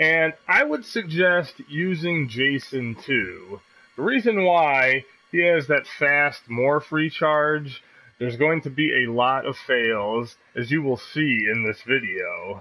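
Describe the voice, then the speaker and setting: A man with a bright, sharp tone and fairly high pitch speaks at a very slow pace with lively intonation. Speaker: gaming YouTuber. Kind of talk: gameplay tutorial commentary. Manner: stumbles over words; casual, conversational.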